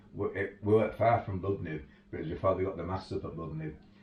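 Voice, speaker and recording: A man's very deep, low, somewhat breathy voice with a Yorkshire accent, at a fairly quick pace, with audible room echo. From Yorkshire, northern England. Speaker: 4x4 tour operator. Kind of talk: casual interview chat. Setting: home garage.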